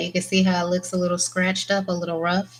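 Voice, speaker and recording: This soft-spoken woman talks at a fairly quick pace. Her pitch sits in the medium range. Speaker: press-on nail artist. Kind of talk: tutorial.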